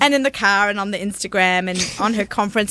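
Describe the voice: A woman talks very fast in an Australian accent, her pitch medium. Noticeable background noise runs underneath.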